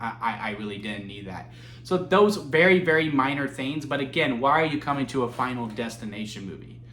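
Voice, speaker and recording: A man talks at a fairly quick pace and a medium pitch with ordinary pitch variation. Audible room echo and noticeable background noise surround him. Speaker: movie reviewer. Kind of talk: solo video review. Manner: halting, stumbling over words; casual, conversational.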